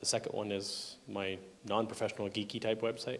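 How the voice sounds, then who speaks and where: Audible room echo surrounds a man's voice. He speaks with a Canadian accent and a fairly low pitch. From Canada. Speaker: software conference speaker. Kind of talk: technical conference talk. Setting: conference hall with audience.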